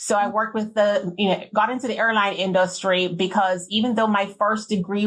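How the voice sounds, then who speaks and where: A woman speaks at a moderate pace with a Jamaican accent and a medium pitch. Her intonation is monotone and flat. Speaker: beverage industry executive. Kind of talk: interview.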